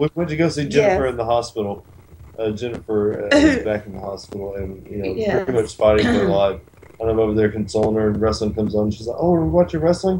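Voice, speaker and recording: A man's fairly low voice with lively intonation at a very fast pace. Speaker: wrestling radio show co-host. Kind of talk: casual banter on a radio show.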